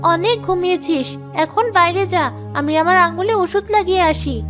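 Over clear music in the background, a female-sounding cartoonish character voice comes through at an extremely high pitch. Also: moderate pace.

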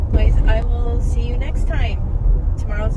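Loud background noise surrounds a woman speaking at a moderate pace in a dry sound with no echo. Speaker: delivery driver vlogger. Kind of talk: casual vlog chat. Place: car. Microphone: phone near.

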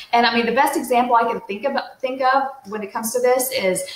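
Audible room echo surrounds a woman's high-pitched voice at a fairly quick pace. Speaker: real estate coach. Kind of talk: tutorial. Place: home room. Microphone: webcam.

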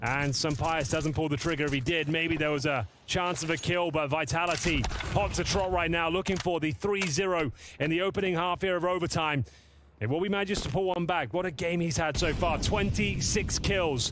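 A man speaks in an animated, dramatic tone at a high pitch, with ordinary pitch variation and very even loudness. Noticeable background noise runs under his voice. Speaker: esports caster. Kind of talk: sports commentary. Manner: animated, fast-paced play-by-play with dramatic, excitable delivery.

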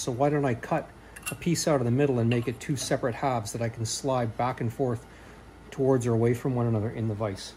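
A man speaks at a fairly quick clip with ordinary pitch variation over light background noise. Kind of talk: thinking-aloud tutorial narration. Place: workshop. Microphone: phone near.

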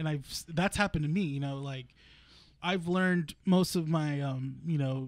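An ordinary speaking voice at a moderate pace with ordinary pitch variation, captured in a very clean recording with a silent background. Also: man. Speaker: podcast co-host. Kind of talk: casual chat. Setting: comic shop.

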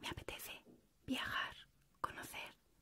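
A woman whispers at a fairly slow pace. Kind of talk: personal reflective monologue, letter-like. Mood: intimate, reflective, warm. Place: home room.

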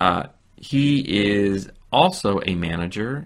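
Speaking at a very slow pace, a man with an American accent has fairly low pitch and ordinary pitch variation. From US West Coast, San Francisco. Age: 40s. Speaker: English teacher. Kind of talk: scripted dialogue for English learners. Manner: slow, simple clear speech.

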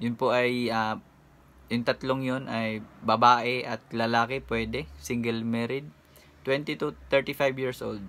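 Very slow male speech at a medium pitch with fairly even intonation. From Philippines. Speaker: YouTuber and overseas worker; vlogger giving job tips. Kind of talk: vlog tutorial. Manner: casual with frequent hesitations. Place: home room. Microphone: phone near.

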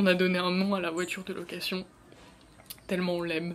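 A woman whispers at a moderate pace. Light background noise can be heard. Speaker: beauty and travel vlogger; travel vlogger. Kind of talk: casual vlog. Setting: indoors in a rented room. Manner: whispering; soft-spoken. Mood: relaxed, a bit nostalgic. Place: home room. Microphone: phone near.

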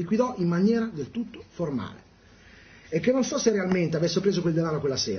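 This man's voice sits high. He talks at a very fast rate. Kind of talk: prepared statement at a press conference. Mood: aggrieved, defensive. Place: office. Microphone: studio mic.

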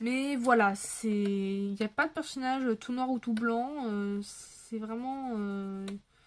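Her pitch is fairly high, and it varies in an ordinary way. The woman talks at a very slow pace. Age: 20s. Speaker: YouTuber, adult colouring channel; YouTuber. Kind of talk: casual chat to camera while colouring. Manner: hesitant, many fillers. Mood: relaxed, chatty. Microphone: phone near.

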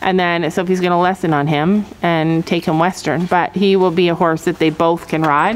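Light background noise sits behind the speech. A woman talks at a moderate pace. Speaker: family vlogger. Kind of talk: casual vlog chat. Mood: relaxed, explanatory. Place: stadium. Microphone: phone near.

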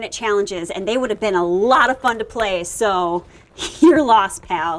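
The woman's delivery keeps a moderate pace. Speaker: actress in a holiday film. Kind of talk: scripted drama dialogue. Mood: wistful, hurt, pleading. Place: street.

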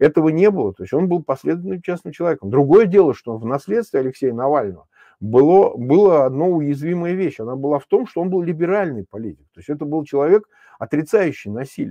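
Over a quiet background with a dry sound and no echo, a man speaks very fast in a fairly high pitch. His pitch swings very widely and his loudness rises and falls a lot. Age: 50s. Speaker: opposition politician and political commentator; opposition politician, political commentator. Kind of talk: live stream political discussion. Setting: remote link while traveling. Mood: serious, analytical. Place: home room. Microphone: lapel.

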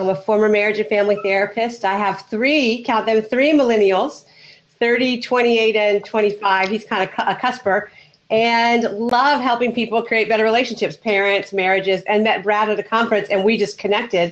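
A woman's voice with an American accent at a moderate pace, with fairly even intonation and very even loudness. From United States. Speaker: relationship coach and former therapist. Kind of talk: casual chat. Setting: video call with headset. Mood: warm, upbeat. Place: home room.

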